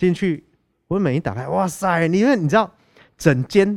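A man's very wide pitch swings at a moderate pace come through on a very clean recording with a silent background. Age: 30s. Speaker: band musician. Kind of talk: casual chat. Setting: recording near an air base.

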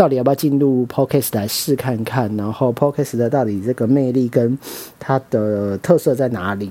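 This speaker has a Taiwanese accent. The pitch varies in an ordinary way. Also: man. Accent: Taiwanese Mandarin. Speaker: podcast host, media marketing worker. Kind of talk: casual solo monologue. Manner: rambling, stream of consciousness.

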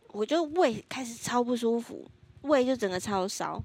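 Her voice is high, with lively intonation at a fairly slow pace. The woman is recorded very cleanly against silence. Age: 20s. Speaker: podcast co-host. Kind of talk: casual chat.

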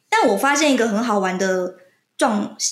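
A woman speaks at a fairly slow pace in a fairly high pitch, with vocal fry and ordinary pitch variation. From Kinmen, Taiwan. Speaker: podcast guest. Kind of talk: casual chat.

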